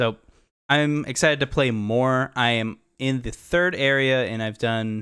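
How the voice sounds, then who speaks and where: The speaker moves at a moderate pace with long, frequent pauses. Pitch varies in an ordinary way over a quiet background. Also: man. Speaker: gaming podcast co-host. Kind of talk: casual chat. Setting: video call. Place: home room. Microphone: studio mic.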